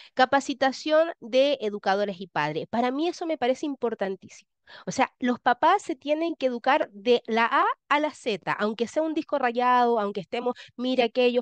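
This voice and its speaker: A woman speaks with high pitch and lively intonation at a moderate pace. The sound is dry and close, with no echo. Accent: Chilean. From Chile. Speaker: education lecturer. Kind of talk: lecture.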